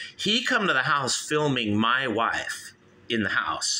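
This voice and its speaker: This man has an American accent and a bright, sharp tone. His intonation is lively. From Southern California. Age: 50s. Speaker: call-in show host. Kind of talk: personal monologue. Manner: casual.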